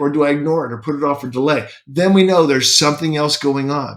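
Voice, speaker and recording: Pitched fairly high, a man's voice carries ordinary pitch variation and sounds like an ordinary speaking voice. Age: 60s. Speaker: self-help podcaster. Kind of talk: motivational talk. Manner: conversational.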